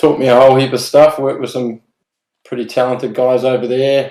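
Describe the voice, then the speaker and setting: With a New Zealand accent, a man speaks at a fairly quick pace in a medium pitch, his dark, mellow tone delivered in a monotone, flat intonation. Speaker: tattoo artist. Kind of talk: casual chat.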